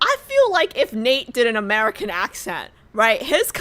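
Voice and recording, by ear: A text is being read out in a natural-sounding voice.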